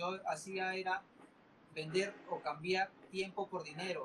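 A high-pitched man keeps his intonation fairly even while noticeable background noise continues. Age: 20s. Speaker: entrepreneur. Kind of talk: interview. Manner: halting, many fillers and repetitions.

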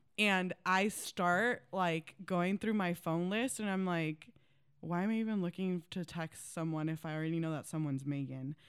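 A woman talks at a moderate pace with ordinary pitch variation in an ordinary speaking voice. The recording is very clean, with a silent background. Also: fairly low pitch for a woman. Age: 20s. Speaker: ministry leader. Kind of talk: casual chat.

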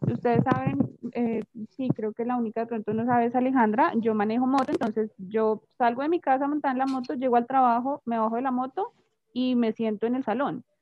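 A woman speaks at a fairly quick pace with a high pitch. Her intonation stays fairly even. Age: 20s. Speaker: English teacher. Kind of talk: casual chat.

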